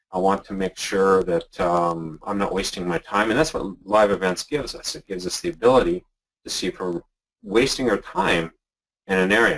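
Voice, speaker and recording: A man with a Canadian accent talks at a fairly quick pace. His pitch is fairly low, and his intonation is lively. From Canada. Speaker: software creator. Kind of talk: webinar tutorial. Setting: live webinar. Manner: casual, hesitant with fillers.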